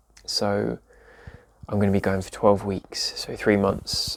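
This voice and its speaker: In an English accent, a man talks at a moderate pace. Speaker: vlogger with chronic illness. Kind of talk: casual vlog talk. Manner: soft-spoken, quiet; hesitant with fillers.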